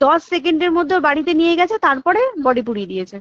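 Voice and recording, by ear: Fast and lively, a woman speaks in a high pitch with a fairly bright tone, the sound dry and close with no echo.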